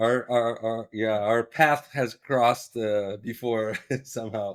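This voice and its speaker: A very slow pace and monotone, flat intonation. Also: man, medium pitch for a man. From Brazil. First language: Portuguese. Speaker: ophthalmology professor. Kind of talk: casual interview chat. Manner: halting, many repetitions and fillers.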